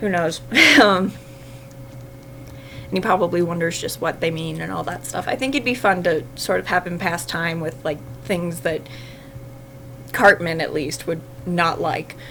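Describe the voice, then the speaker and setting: With long, frequent pauses, a woman speaks at a moderate pace in a fairly low pitch with ordinary variation over noticeable background noise. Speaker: fanfiction writer livestreamer. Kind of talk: casual livestream chat while writing. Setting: livestream. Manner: gets louder when excited; hesitant, many fillers.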